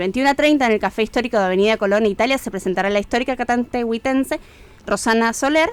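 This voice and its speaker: In a very clean recording with a silent background, a woman speaks at a fairly high pitch. Her pace is fairly quick and her pitch variation ordinary. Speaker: cultural agenda presenter. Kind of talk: events agenda reading. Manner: fast.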